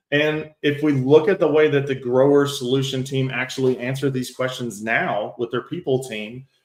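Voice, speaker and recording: Moderate pace from a man at medium pitch, fairly even intonation and hardly any pauses. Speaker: AI agent workshop instructor and entrepreneur. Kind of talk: live tutorial demo. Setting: online livestream webinar. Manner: conversational.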